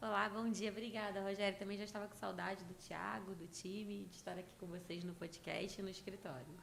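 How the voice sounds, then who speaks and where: With a Carioca accent and fairly even intonation, the speech runs at a fairly quick pace with hardly any pauses, amid audible room echo and noticeable background noise. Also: woman, medium pitch for a woman. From Rio de Janeiro, Brazil. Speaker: leadership consultant. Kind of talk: podcast interview. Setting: office studio.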